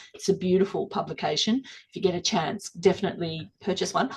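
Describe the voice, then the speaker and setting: Speaking at a very fast pace, a woman talks with an Australian accent. Her pitch is medium and varies in an ordinary way. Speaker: gallery director. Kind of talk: live-streamed interview. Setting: live stream.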